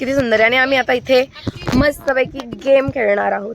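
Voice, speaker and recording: Over noticeable background noise, a woman with a fairly high pitch speaks with ordinary pitch variation. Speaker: family vlogger. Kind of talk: casual vlog narration. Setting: outdoors on a beach.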